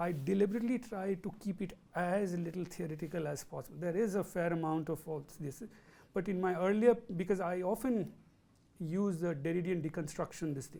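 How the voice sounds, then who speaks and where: Speaking fairly quickly with a South Asian accent, a man has a high pitch, a dark, mellow tone and ordinary pitch variation. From India. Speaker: professor. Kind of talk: lecture Q&A. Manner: halting.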